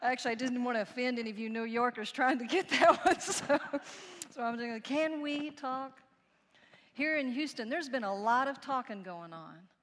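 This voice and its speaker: With a Texan accent, a woman talks fairly quickly at a high pitch, her intonation lively and her loudness swinging widely. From Texas. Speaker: preacher. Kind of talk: sermon.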